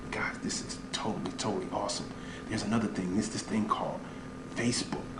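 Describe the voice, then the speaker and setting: A man whispering at a very fast pace, with audible room echo and noticeable background noise. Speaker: online business coach. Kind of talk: comedic sales pitch. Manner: animated.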